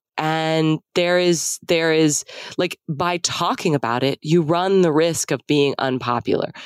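A woman with an American accent speaks in a very deep, low pitch with ordinary pitch variation, in a dry, close sound with no echo. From Texas. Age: 40s. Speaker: author and podcaster. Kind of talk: casual chat.

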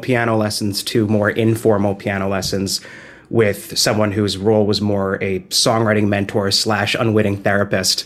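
A man with an American accent talks at a moderate pace and fairly low pitch. His intonation is monotone and flat. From New Jersey. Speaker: musician. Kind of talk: interview. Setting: video call.

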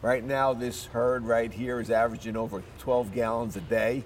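Over music in the background, a man with an American accent talks at a moderate pace and medium pitch. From New York City, the Bronx. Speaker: dairy farm owner. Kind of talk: interview. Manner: halting.

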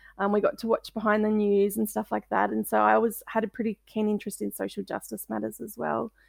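Rattling along at a very fast pace with hardly any pauses, a woman speaks with an Australian accent. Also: dry, close sound with no echo. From Australia, Melbourne. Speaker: author. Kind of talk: interview.

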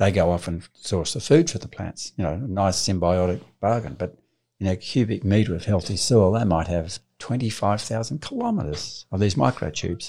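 In a very clean recording with a silent background, a man with an Australian accent speaks at a fairly low pitch in a dark, mellow, somewhat breathy tone. His intonation is lively and his pace moderate. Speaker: farmer and author. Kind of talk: interview conversation.

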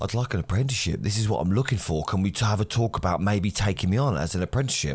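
Speaking at a fairly quick pace with lively intonation, a man with an English accent has a fairly low pitch. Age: 40s. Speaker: electrician and podcast host. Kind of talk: solo podcast monologue.

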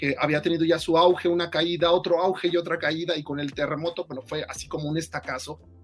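Speaking very fast in a high voice, this man is heard over noticeable background noise. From Mexico City. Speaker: novelist. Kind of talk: interview.

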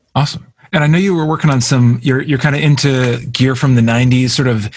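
A somewhat breathy man with an American accent talks at a fairly quick pace, using a medium pitch and ordinary pitch variation. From US, Vermont. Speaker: podcast host. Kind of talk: casual interview.

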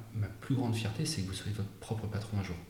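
Amid noticeable background noise and audible room echo, a man with a fairly low voice talks very fast. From Brittany, between Rennes and Saint-Malo. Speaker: hotel and restaurant founder. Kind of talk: interview. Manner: halting, repeats words.

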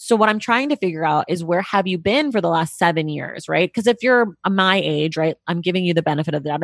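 With an American accent and a plain, everyday voice, a woman talks at a fairly quick pace with fairly low pitch and ordinary pitch variation, the sound dry and close with no echo over a quiet background. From California, Bay Area. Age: 30s. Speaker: podcast host and book commentator. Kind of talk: casual interview chat. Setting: remote video call.

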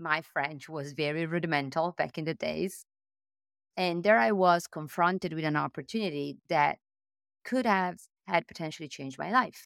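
With an Italian accent, a woman talks at a moderate pace and a fairly low pitch, her pitch varying in an ordinary way. The sound is dry and close with no echo, a very clean recording with a silent background. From Italy. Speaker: tech executive. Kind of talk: interview conversation. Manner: animated.

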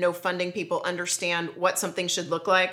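Her voice is a woman's, with a bright, sharp tone. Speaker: business manager and producer. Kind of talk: casual chat.

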